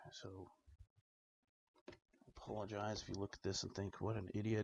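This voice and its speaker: A man whispering and mumbling, somewhat breathy. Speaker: DIY tech hobbyist. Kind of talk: tutorial with self-talk. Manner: whispering, mumbling to self.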